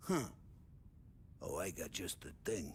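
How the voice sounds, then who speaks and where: A man uses a loud, raspy put-on character voice. Background noise is clearly heard. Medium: video game. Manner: loud, laughing.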